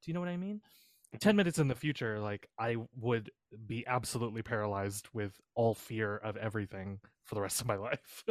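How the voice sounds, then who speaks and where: Over a very clean recording with a silent background, a man with an unremarkable speaking voice talks fairly quickly at a medium pitch with ordinary pitch variation, the sound dry and close with no echo. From Canada. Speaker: podcast co-host and editor. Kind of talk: casual chat.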